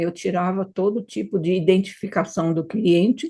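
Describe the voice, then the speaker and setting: At a moderate pace, a woman speaks in a fairly low pitch with a dark, mellow tone. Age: 70s. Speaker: hypnotherapist. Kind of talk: interview conversation.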